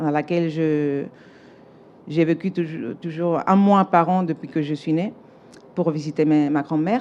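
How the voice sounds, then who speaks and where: A woman speaks slowly with a Spanish accent. Her pitch is fairly low, with ordinary variation. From Spain, Seville. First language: Spanish (speaking French). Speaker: architect, award winner. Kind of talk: acceptance speech. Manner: halting, many hesitations.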